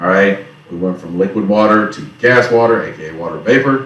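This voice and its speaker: With audible room echo, a man speaks in a fairly low pitch with an American accent. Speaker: teacher. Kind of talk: lecture. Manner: casual.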